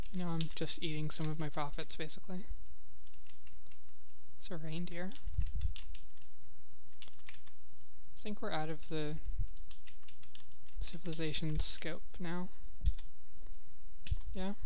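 The speech moves at a very slow pace with long, frequent pauses. Light background noise sits under a dry sound with no echo. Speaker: video game let's player. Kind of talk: casual gameplay commentary. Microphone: headset.

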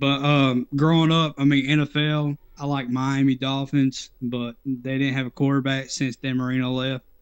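At a fairly slow pace with hardly any pauses, the speaker talks in a monotone, flat intonation with an East Tennessee accent over a quiet background. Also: man. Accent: US Southern (East Tennessee). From Knoxville, Tennessee. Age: 30s. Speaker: viewer joining on call; retro gaming streamer. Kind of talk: casual chat. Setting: Discord voice call. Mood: relaxed, nostalgic. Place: home room.

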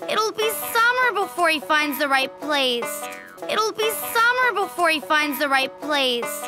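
A woman uses a cartoonish character voice, high-pitched with big swings in pitch and a bright, sharp tone, talking at a fairly slow pace over faint music in the background.

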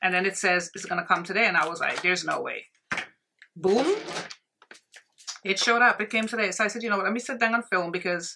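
Speaking at a very fast pace with ordinary pitch variation, a woman talks over noticeable background noise. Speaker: beauty vlogger. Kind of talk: casual vlog chat. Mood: chatty, somewhat stressed. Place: home room.

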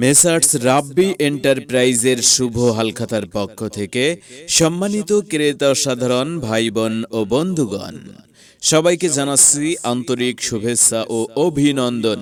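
A man with an unremarkable speaking voice talks at a medium pitch with lively intonation. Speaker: voice artist. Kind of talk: loudspeaker shop announcement.

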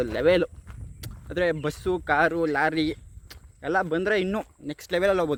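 Against noticeable background noise, a man talks in a fairly high pitch with ordinary pitch variation. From Karnataka, Mandya district. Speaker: village vlogger. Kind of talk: casual vlog narration. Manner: sarcastic, animated.

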